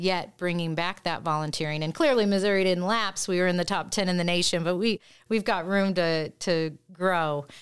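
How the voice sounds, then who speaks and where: A woman with a normal speaking voice and an American accent talks at a fairly low pitch and a moderate pace, with ordinary pitch variation on a very clean recording with a silent background. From Indiana. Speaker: executive director of a state volunteer commission. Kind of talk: interview.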